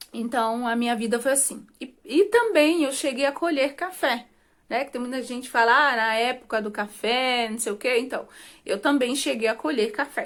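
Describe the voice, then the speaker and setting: On a very clean recording with a silent background, a woman talks at a high pitch and a moderate pace. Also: ordinary pitch variation. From Brazil, rural Minas Gerais. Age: 30s. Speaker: vlogger. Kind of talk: personal life story to camera. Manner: casual, conversational.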